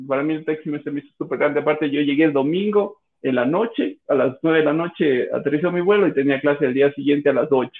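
A man's fairly high-pitched voice in a Cuenca Ecuadorian accent, fairly quick in pace, with ordinary pitch variation. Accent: Cuenca accent, noticeable. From Ecuador, Cuenca. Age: 30s. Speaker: podcast guest. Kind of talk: casual chat. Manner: halting, many repetitions.

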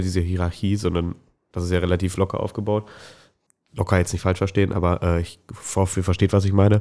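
A man's very deep, low, dark and mellow voice, very fast and monotone, on a very clean recording with a silent background. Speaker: podcast co-host at a startup. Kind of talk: casual chat. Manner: speaks sparingly to spare voice.

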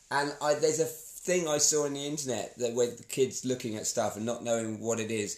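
Using an ordinary speaking voice, a man of medium pitch with ordinary pitch variation talks at a fairly quick pace, with hardly any pauses. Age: 40s. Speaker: podcast co-host. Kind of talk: casual chat.

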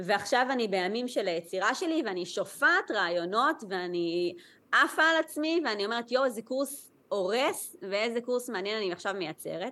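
Against a quiet background, a woman with a bright, sharp tone and fairly high pitch makes very wide pitch swings, keeping a moderate pace with hardly any pauses. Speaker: Chinese medicine practitioner. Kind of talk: interview, casual chat.

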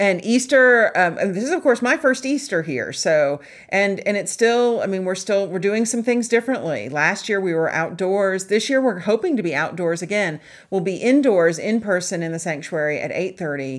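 A woman with an American accent has a plain, everyday voice at medium pitch. She talks at a moderate pace on a very clean recording with a silent background. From US South, Charleston, South Carolina. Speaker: pastor and podcast co-host. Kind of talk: sermon; casual chat.

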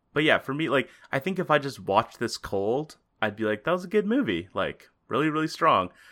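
On a very clean recording with a silent background, a man speaks fairly quickly in a fairly high pitch with a bright, sharp tone, vocal fry and very wide pitch swings. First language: not English. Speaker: podcast co-host. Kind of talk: casual chat.

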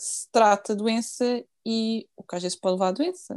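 This woman has a fairly high pitch and a dark, mellow tone. She speaks at a fairly slow pace, and the sound is dry and close with no echo. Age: 20s. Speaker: nurse. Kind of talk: casual interview.

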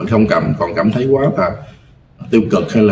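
Noticeable background noise sits behind the speaker. He is a man with a medium pitch, talking at a moderate pace. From Mekong Delta, southern Vietnam. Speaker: film director and lecturer. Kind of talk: casual podcast interview. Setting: studio.

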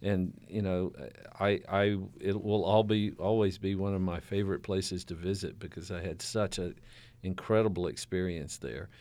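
On a very clean recording with a silent background, a man with a Southern US accent speaks in a very deep, low voice with a dark, mellow tone. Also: moderate pace. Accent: southern American. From US South. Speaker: university president. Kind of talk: interview. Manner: halting.

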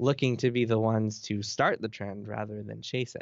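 A man uses a normal speaking voice at a medium pitch. He keeps a moderate pace. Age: 30s. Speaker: games journalist. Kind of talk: interview.

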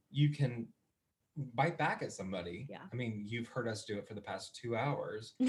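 Somewhat breathy and pitched in the medium range, a man speaks at a moderate pace with ordinary pitch variation and big swings in loudness. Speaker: musical theatre actor. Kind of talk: casual chat. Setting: video call.

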